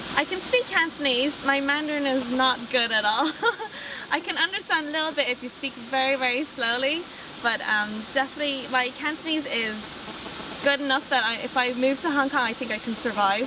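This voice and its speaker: A woman with an Irish accent speaks in a raised, projected voice at a high pitch, with noticeable background noise behind her. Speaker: interviewee. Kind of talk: interview answers.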